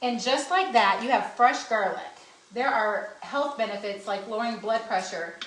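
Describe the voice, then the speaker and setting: A woman speaks with lively intonation and an animated tone. Noticeable background noise and audible room echo fill the recording. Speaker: cooking demonstrator. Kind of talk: cooking demonstration. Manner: fast.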